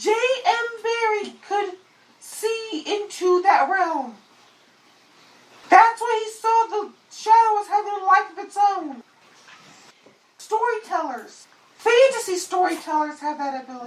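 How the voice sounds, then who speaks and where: A put-on character voice pitched extremely high speaks at a fairly slow pace with long, frequent pauses. There is a slight echo. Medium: solo performance. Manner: calm, explanatory, refers to itself as we.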